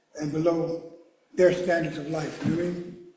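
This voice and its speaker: With audible room echo, a man in an American accent speaks at a very fast pace in a high pitch. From Philadelphia, US. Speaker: mourner giving a eulogy. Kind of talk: eulogy. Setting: church memorial service. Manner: halting.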